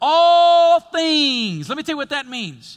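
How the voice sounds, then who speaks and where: A man speaks in an extremely high pitch with a bright, sharp tone. His voice is raised and projected, and his tone is animated. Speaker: pastor. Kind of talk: sermon. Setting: church with live congregation. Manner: animated, call-and-response preaching that draws out audience amens; conversational, humorous, and emphatic, with repeated 'listen to me'.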